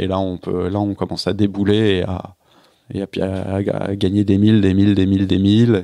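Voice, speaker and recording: This voice belongs to a man. His intonation is monotone and flat. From Paris suburbs, France. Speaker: professional offshore sailor. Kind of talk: podcast interview. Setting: house in Lorient. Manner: halting, many fillers.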